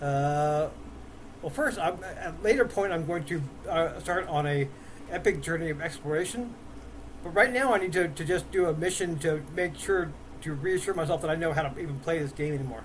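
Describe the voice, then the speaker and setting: Noticeable background noise and audible room echo surround the speech. A man talks fairly quickly in a high voice with ordinary pitch variation. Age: 60s. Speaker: gaming YouTuber. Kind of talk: gameplay commentary. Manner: halting, many fillers.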